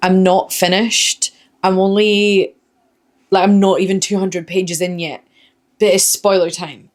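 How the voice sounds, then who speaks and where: A woman speaks in a Scottish accent with monotone, flat intonation. She leaves long, frequent pauses. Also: medium pitch for a woman, moderate pace. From Scotland. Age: 30s. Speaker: book vlogger. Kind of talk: casual talk to camera. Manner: chatty, expressive.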